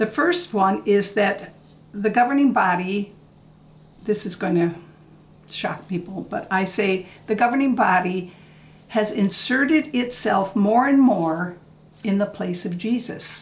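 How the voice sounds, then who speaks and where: A woman speaks at a fairly slow pace in a somewhat breathy voice. Her speech has long, frequent pauses. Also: medium pitch for a woman, ordinary pitch variation. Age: 70s. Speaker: former Jehovah's Witness. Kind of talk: casual interview answer.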